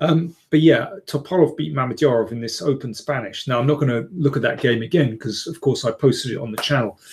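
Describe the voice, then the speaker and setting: Somewhat breathy, a man talks at a fairly quick pace with hardly any pauses and ordinary pitch variation. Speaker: chess commentator. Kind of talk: live stream chat. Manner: hesitant, many fillers.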